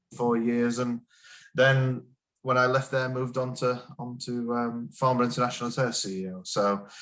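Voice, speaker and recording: Speaking at medium pitch with monotone, flat intonation, a man has a slight northern English accent. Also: moderate pace. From northern England, Sheffield. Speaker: business executive. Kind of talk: interview. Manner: hesitant, many fillers and repeats.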